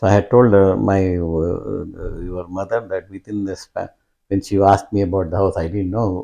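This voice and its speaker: A man with an Indian accent talks at a moderate pace over a quiet background. His fairly low voice has a dark, mellow tone and fairly even intonation. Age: old. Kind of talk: interview answer.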